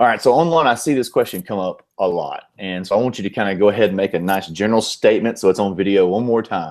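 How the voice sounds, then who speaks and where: With a Southern US accent, a man talks at a very fast pace with hardly any pauses, fairly low in pitch with ordinary pitch variation, on a very clean recording with a silent background. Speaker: board game show host. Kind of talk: interview.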